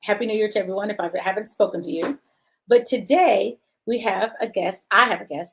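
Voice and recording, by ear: With an American accent, a woman speaks at a fairly quick pace. Her voice is fairly high and somewhat breathy. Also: lively intonation.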